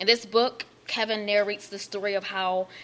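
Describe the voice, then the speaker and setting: A woman with a plain, everyday voice talks at a fairly quick pace and medium pitch in an American accent. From Baltimore, Maryland. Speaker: author. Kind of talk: reading aloud a foreword. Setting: library event with audience.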